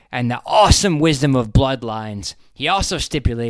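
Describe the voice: The clip features plain reading aloud.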